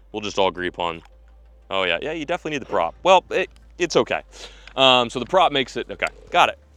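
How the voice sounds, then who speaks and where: A man's medium-pitched, bright and sharp voice with vocal fry, at a fairly quick pace, in a dry, close sound with no echo. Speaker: fishing video host. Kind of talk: casual outdoor product-testing vlog. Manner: animated.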